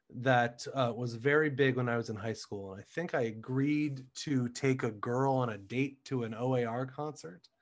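Over a quiet background, a man with an American accent speaks at medium pitch and a moderate pace, with ordinary pitch variation. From Ohio, US. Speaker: Broadway actor. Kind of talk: casual interview chat.

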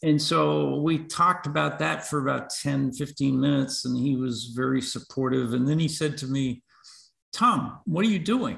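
A man with an American accent speaks at a moderate pace in a fairly high pitch, with ordinary pitch variation. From US Northeast. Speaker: veterans advocate. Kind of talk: interview. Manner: halting.

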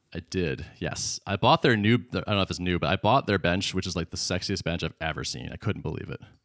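Very deep and low with vocal fry, a man's voice moves at a fairly quick pace with hardly any pauses and ordinary pitch variation, recorded very clean, dry and close with no echo and a silent background. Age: 40s. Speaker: podcast co-host and startup founder. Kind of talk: casual chat.

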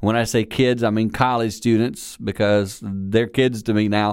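A man speaks in a Southern US accent. His pitch is medium and his intonation fairly even. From South Carolina. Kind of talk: sermon-style talk with radio intro. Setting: chapel with audience.

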